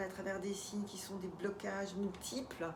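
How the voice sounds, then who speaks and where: Noticeable background noise and audible room echo around a woman's voice of medium pitch. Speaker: life coach. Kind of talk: talk to camera with guided EFT tapping. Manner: hesitant, many filler sounds.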